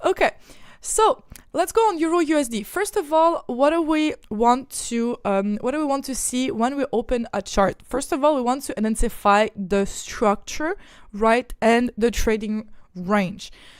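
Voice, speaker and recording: Speaking at a fairly slow pace with a slight Quebec accent, a woman uses a high pitch and very wide pitch swings in a very clean recording with a silent background. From Ukraine. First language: not English; speaks French daily, Ukrainian origin. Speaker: trading educator. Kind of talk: live-streamed chart analysis tutorial. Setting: live stream with screen-shared charts. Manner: casual, repetitive with fillers and restarts.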